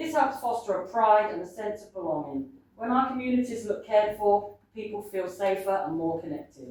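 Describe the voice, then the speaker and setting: A woman in a New Zealand accent talks at a moderate pace and medium pitch, with lively intonation. Room echo is audible. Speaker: local election candidate. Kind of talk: candidate campaign speech. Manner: loud.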